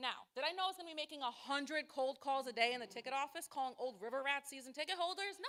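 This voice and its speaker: A raised, projected voice with lively intonation. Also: woman. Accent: American. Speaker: nonprofit fundraiser. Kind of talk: short stage presentation. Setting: stage with audience. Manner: loud; fast.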